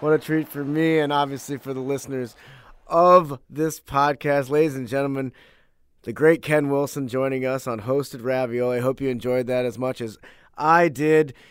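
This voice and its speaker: On a very clean recording with a silent background, a man with a plain, everyday voice speaks at a moderate pace, his pitch fairly high and his intonation fairly even. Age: 30s. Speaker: podcast host. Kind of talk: casual interview.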